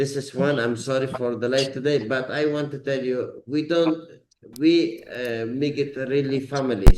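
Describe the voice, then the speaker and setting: A man with a non-native accent talks at a moderate pace and medium pitch. His intonation is fairly even, and there is noticeable background noise. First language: not English. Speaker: company head. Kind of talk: business video meeting. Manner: halting.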